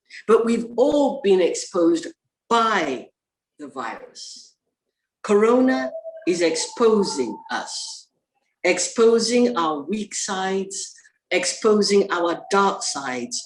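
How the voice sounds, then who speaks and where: A woman speaks at a very slow pace with a fairly high pitch, vocal fry and long, frequent pauses. Her pitch swings very widely and her loudness shifts a great deal. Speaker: poet and professor of English. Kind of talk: poetry reading.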